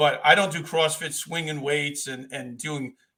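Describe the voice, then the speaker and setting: A man's bright, sharp tone comes with an American accent. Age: 60s. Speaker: retired police officer. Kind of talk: casual interview chat.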